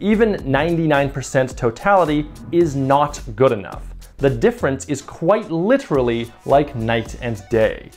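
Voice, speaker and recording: A man talks at a fairly slow pace while faint music sits in the background. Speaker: video creator. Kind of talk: casual explainer vlog. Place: home room. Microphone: lapel.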